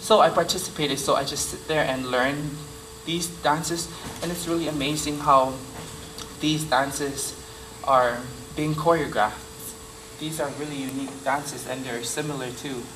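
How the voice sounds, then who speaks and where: A man's fairly high voice in a Samoan accent, with long, frequent pauses, noticeable background noise and audible room echo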